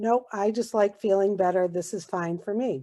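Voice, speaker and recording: A woman talks at a fairly slow pace and medium pitch, a normal speaking voice. The background is quiet. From Massachusetts, US. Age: 60s. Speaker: network marketing distributor. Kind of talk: testimony.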